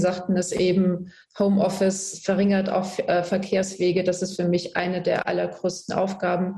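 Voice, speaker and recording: A woman's medium-pitched voice at a moderate pace. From Germany, Palatinate (rural village). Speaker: politician. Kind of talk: political debate.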